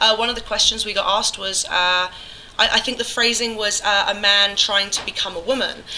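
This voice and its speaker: Fairly quick speech from a woman with an English accent, medium in pitch, with monotone, flat intonation over noticeable background noise. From England. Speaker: musician. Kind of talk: casual chat. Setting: convention. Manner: nervous.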